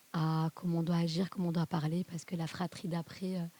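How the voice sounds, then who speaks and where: At a moderate pace, the voice has a dark, mellow tone, somewhat breathy, with monotone, flat intonation and a dry, close sound with no echo. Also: woman. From southern France. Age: 40s. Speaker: podcast guest, mother. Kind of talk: interview testimony.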